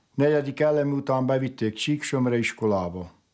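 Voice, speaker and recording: An unremarkable speaking voice, a man's at fairly high pitch, goes at a fairly slow pace on a very clean recording with a silent background. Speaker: relative of the bishop. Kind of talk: documentary interview.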